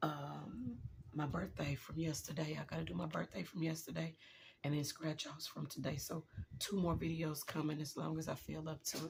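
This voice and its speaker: This woman has a very deep, low pitch with vocal fry. She speaks at a moderate pace with fairly even intonation. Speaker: budgeting video creator. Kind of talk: casual chat.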